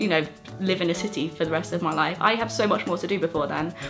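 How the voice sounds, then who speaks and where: A woman speaks in a British accent. Music plays in the background. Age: 20s. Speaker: creative producer. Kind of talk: casual talk to camera.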